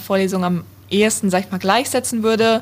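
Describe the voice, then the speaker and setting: Her pitch medium and her intonation fairly even, a woman talks in an ordinary speaking voice. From Hesse, near Frankfurt am Main. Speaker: university student. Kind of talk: interview.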